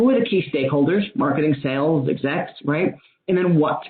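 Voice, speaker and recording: Her voice is very deep and low for a woman, with lively intonation. She speaks at a fairly quick pace. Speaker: data management consultant. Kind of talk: webinar presentation. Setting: online webinar. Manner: fast.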